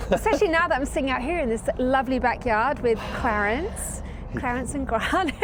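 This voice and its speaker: A woman's high voice moves at a fairly quick clip, its intonation lively, with noticeable noise in the background. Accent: American. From southern England. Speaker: professional organizer. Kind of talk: podcast interview. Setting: outdoors in a backyard.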